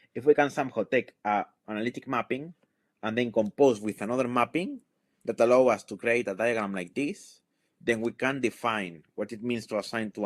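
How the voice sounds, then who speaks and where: Medium-pitched man's voice with ordinary pitch variation, dry and close with no echo, on a very clean recording with a silent background. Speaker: mathematics researcher. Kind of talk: lecture. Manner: fast; halting.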